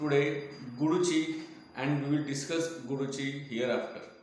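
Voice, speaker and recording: Noticeable background noise and audible echo from the room surround a man whose voice sits fairly high. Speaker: Ayurvedic doctor and teacher. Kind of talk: lecture. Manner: slow, deliberate; halting.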